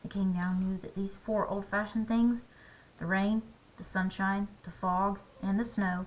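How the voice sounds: It is read in a natural reading voice with fairly even intonation.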